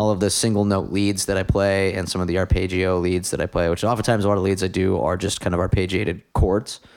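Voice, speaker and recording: A man's fairly low voice at a fairly quick pace, a plain, everyday voice. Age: 30s. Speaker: podcast host and guitarist. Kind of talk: casual chat. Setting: home recording.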